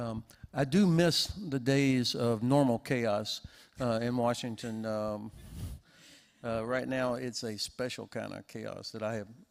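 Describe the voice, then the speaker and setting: In an American accent, a man with an unremarkable speaking voice talks at a fairly slow pace in a medium pitch with ordinary pitch variation, on a very clean recording with a silent background. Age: 60s. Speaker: panelist, US policy expert. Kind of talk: panel discussion.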